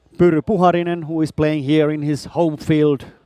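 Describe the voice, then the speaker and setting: Speaking fairly slowly in a Finnish accent, a man has a fairly high pitch. His tone is dark and mellow. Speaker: sports commentator. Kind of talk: live commentary. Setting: bowling hall.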